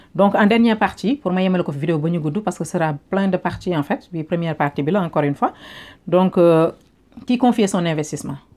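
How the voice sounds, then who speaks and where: In a Senegalese accent, a woman talks at a very fast pace with a fairly low pitch and ordinary pitch variation. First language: Wolof (speaking French). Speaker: online business vlogger. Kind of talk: casual advice vlog, Wolof-French code-switching.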